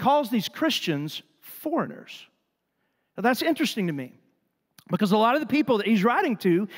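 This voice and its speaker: Over a quiet background, a man talks at a moderate pace in an extremely high voice. His tone is animated, with very wide pitch swings. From Texas. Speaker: pastor. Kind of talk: sermon. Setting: church. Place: church. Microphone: handheld.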